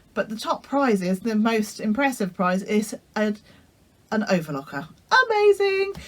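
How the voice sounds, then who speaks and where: A woman with a British accent speaks at a fairly high pitch and moderate pace, her intonation lively. She leaves long, frequent pauses over noticeable background noise. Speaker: sewing vlogger. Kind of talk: casual vlog talk. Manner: hesitant, many fillers.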